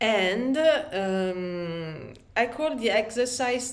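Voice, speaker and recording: With audible room echo, a woman in an Italian accent speaks at a very slow pace with a fairly high pitch and lively intonation. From Italy. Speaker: aspiring writer vlogger. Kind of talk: casual vlog talk. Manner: halting, many fillers.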